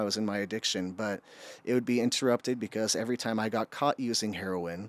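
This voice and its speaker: Very fast and with fairly even intonation, a man speaks in a very clean recording with a silent background and a dry, close sound with no echo. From Utah. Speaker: addiction recovery worker. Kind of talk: podcast interview testimony.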